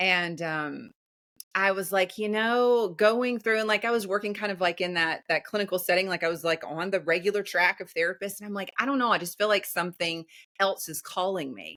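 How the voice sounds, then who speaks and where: A woman's bright, sharp, medium-pitched voice with a Southern US accent. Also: ordinary pitch variation, fairly quick pace. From US South. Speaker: empowerment coach. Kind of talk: podcast interview. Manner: animated.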